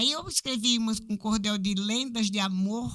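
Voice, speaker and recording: A woman talks at a fairly slow pace with a bright, sharp tone and a fairly high pitch. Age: 60s. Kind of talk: podcast interview.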